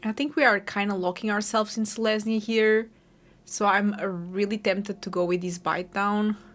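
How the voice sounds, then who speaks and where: Recorded very cleanly against a silent background, a woman with a Portuguese accent speaks at a moderate pace. Her pitch is medium and her intonation fairly even. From Portugal. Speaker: gaming streamer. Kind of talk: gameplay commentary. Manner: casual, thinking aloud.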